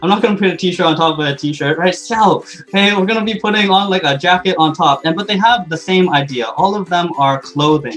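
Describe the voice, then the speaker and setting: Against noticeable background noise, a man with a slight Canadian accent speaks at a fairly quick pace in a high pitch. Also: ordinary pitch variation, hardly any pauses. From Canada. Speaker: English teacher. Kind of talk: online webinar talk. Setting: live online session with chat. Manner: animated.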